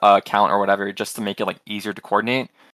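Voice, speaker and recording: A bright, sharp voice with an American accent at a very fast pace, on a very clean recording with a silent background. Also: man. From Houston, Texas. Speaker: caller.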